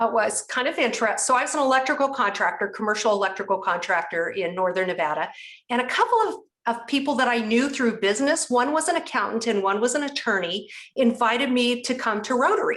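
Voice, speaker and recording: A woman's high-pitched voice at a very fast pace, with lively intonation. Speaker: rotary leader and speaker. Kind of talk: interview.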